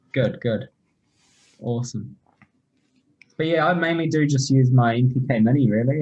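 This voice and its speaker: A man speaks with a New Zealand accent. His voice is somewhat breathy, with a dark, mellow tone. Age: 20s. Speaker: rapper and music producer. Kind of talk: casual chat.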